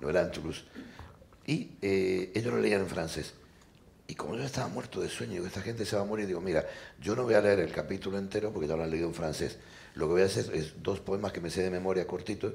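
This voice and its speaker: A man's very deep, low voice at a very fast pace, with ordinary pitch variation and audible room echo. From Argentina. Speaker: novelist and poet. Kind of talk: panel discussion. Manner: animated.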